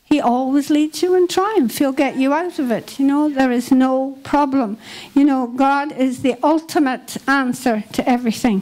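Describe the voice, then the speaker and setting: In a Scottish accent, a woman with a high pitch speaks at a moderate pace, with ordinary pitch variation, very even loudness and hardly any pauses. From Scotland. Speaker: Bible school leader; preacher. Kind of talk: sermon. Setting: church. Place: hall. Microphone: handheld.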